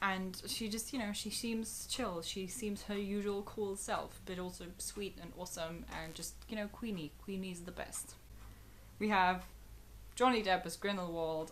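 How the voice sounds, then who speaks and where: A woman at medium pitch and a fairly slow pace, with audible room echo. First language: German. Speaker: YouTuber. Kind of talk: video commentary. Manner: animated.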